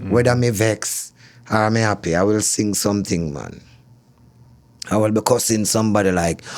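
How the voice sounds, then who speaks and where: A man's fairly low voice with a Jamaican accent, fairly even intonation, a moderate pace and long, frequent pauses. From Kingston, Jamaica. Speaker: reggae soul singer. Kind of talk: interview answer.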